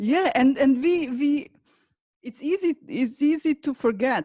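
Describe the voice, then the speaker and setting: A woman talks at a very slow pace in a non-native accent, with a dark, mellow tone and lively intonation. The sound is dry and close, with no echo. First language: not English. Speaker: podcast host. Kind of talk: podcast interview. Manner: halting, repeats words.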